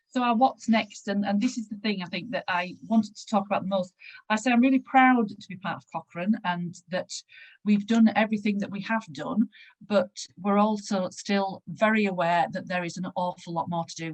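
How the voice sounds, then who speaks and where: With a dry, close sound and no echo, a woman speaks at a medium pitch, somewhat breathy, with ordinary pitch variation and big swings in loudness. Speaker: panel speaker on patient involvement in research. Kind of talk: conference presentation. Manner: fast.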